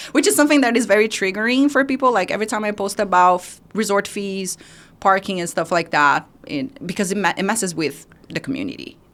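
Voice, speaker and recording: At a very fast pace, a woman speaks with lively intonation on a very clean recording with a silent background. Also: medium pitch for a woman. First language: not English; English is her third language. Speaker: social media creator. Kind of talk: podcast interview. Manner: animated.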